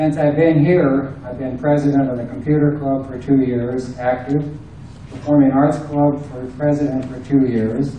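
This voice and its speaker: Against noticeable background noise and audible room echo, a man talks at a moderate pace in a fairly high pitch, his intonation monotone and flat and his loudness swinging widely. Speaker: election candidate, retired engineer. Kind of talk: candidate speech at public forum.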